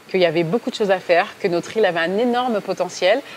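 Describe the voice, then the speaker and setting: Amid noticeable background noise, a woman talks at a very fast pace with ordinary pitch variation. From mainland France. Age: 30s. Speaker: communications agency director. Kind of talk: interview. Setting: on location at a digital event venue. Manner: hesitant, many fillers.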